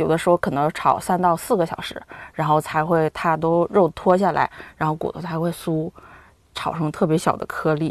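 A woman with a fairly low pitch speaks in a monotone, flat way at a moderate pace, with a dry, close sound and no echo. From Harbin, Heilongjiang, China. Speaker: accountant, food lover. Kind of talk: casual chat. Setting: studio.

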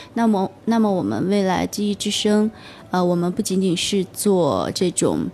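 A woman's medium-pitched, dark, mellow voice at a fairly slow pace, with fairly even intonation and very even loudness. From Gansu, northwest China. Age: young. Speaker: entrepreneur. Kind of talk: radio interview. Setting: radio studio. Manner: hesitant, many fillers.

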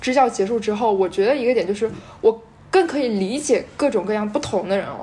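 Speaking at a moderate pace, a woman at a fairly high pitch has a plain, everyday voice. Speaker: volunteer English teacher. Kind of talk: casual chat.

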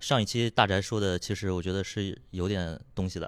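In a very clean recording with a silent background, a man with a plain, everyday voice speaks at a fairly quick pace and a fairly low pitch. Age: 20s. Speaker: podcast producer. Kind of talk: casual chat.

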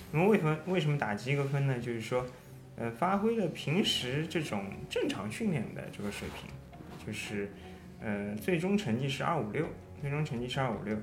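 A man speaks at a moderate pace with very wide pitch swings, music playing in the background and audible echo in the room. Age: 30s. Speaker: amateur runner, running mentor. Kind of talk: casual chat.

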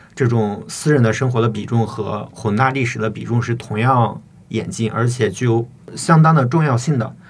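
Noticeable background noise accompanies a man with a medium pitch. He talks at a moderate pace with fairly even intonation. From Shiyan, Hubei, China. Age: 20s. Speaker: doctoral student and poet. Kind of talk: interview conversation. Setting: studio. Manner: hesitant, filler-heavy academic speech.

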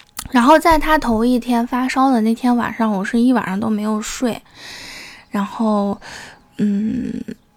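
Long, frequent pauses mark this woman's fairly slow speech, pitched fairly high with ordinary variation, over noticeable background noise. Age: young. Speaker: solo podcaster. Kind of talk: casual monologue. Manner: halting, many fillers.

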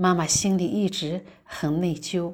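A woman speaks with fairly low pitch and fairly even intonation. The recording is very clean, with a silent background. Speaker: guest's mother. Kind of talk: prepared message. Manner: halting.

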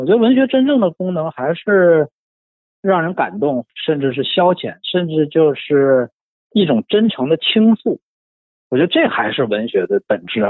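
Speaking at a moderate pace, a man with a high voice moves through very wide pitch swings. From northeast China, Shenyang. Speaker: book enthusiast guest. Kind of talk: casual literary discussion.

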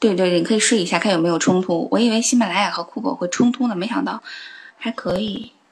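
The woman speaks at a medium pitch with ordinary variation. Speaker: audio show host doing a live stream. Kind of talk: casual live-stream chat with listeners.

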